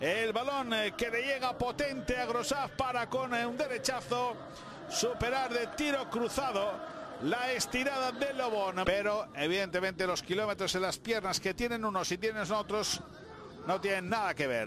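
Extremely high-pitched, animated man, fairly slow pace, ordinary pitch variation and very even loudness, amid noticeable background noise. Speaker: sports commentator. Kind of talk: live sports commentary. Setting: broadcast recording of a match. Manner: animated, excitable play-by-play.

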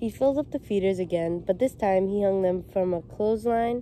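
A woman with a dark, mellow tone speaks at a moderate pace, the sound dry with no echo and light background noise. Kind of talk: storybook read-aloud. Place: street. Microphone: phone near.

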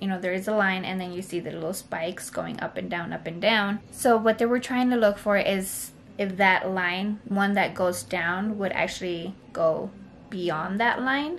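A woman's speech moves at a moderate pace with ordinary pitch variation, while light background noise sits underneath. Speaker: mother vlogger. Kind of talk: casual vlog story time. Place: home room. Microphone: phone near.

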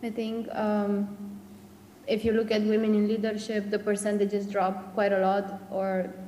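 A woman speaks in a Romanian accent at a medium pitch. Her intonation is monotone and flat, and there is noticeable background noise. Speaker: open-source community organizer. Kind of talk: panel discussion. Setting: video call.

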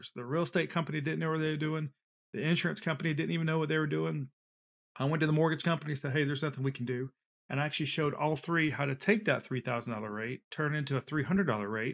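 A man with a Southern US accent talks at a very fast pace in a fairly high pitch. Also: ordinary pitch variation. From US South, Alabama and Georgia. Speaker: flood insurance expert. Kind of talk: casual interview.

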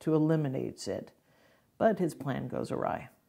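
This woman's voice sits at a very deep, low pitch and carries vocal fry. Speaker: theatre director. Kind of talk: presentation pitch.

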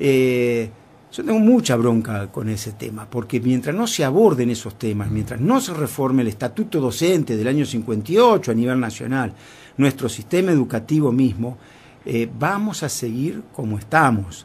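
A somewhat breathy man speaks at a moderate pace with lively intonation. His pitch is medium. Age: 60s. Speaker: foundation president. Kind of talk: interview.

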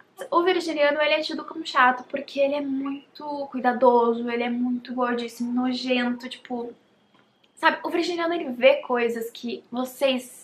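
Her voice is high-pitched for a woman and swings widely in loudness. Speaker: YouTuber. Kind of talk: casual vlog talk to camera.

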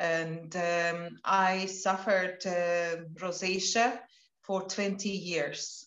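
In a Latvian accent, a woman speaks at a very slow pace with monotone, flat intonation, the background quiet but with audible room echo. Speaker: wellness product promoter; interviewee. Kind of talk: casual chat. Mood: warm, personal, slightly emotional. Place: home room. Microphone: video call.

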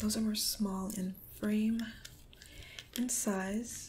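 Over noticeable background noise, a soft-spoken woman is whispering. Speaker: ASMR creator. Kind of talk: ASMR role play. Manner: soft-spoken, calming, whispery.

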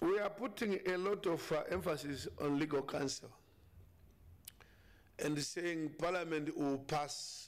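Slow delivery with long, frequent pauses and ordinary pitch variation. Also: man.

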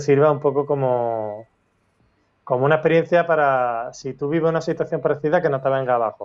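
A man uses a normal speaking voice with a fairly high pitch. Intonation stays fairly even over a quiet background. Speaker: schoolteacher; interview guest. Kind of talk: interview testimony. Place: home room. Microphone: video call.

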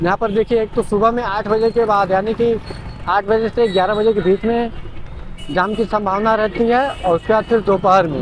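Over clear background noise, a man with a high voice speaks at a moderate pace with ordinary pitch variation.

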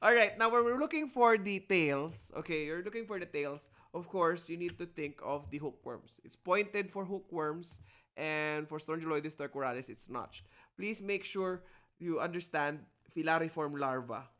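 A man with a bright, sharp tone and high pitch, moderate pace, ordinary pitch variation, and big swings in loudness. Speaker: lecturer. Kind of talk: lecture. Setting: video call. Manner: animated.

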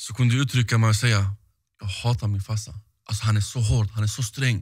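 Against a quiet background, a somewhat breathy man talks at a fairly quick pace with ordinary pitch variation. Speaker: podcast host. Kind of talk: casual chat interview. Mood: relaxed, conversational. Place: studio. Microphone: studio mic.

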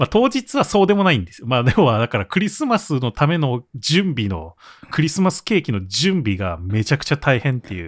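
Recorded very cleanly with a silent background and a dry, close sound with no echo, a man talks fairly quickly in a fairly high voice with vocal fry, very wide pitch swings and big shifts in loudness. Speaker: podcast co-host. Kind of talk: casual chat.

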